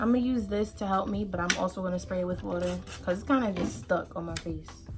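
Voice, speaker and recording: A woman talking at a very fast pace, with music in the background. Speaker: beauty YouTuber. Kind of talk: makeup tutorial vlog. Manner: fast, rushed; casual, chatty.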